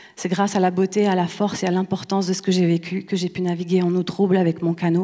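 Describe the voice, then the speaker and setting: Very fast speech from a woman, medium-pitched with a dark, mellow tone and monotone, flat intonation, on a very clean recording with a silent background. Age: 30s. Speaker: actress and playwright. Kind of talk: award acceptance speech. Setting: stage with audience.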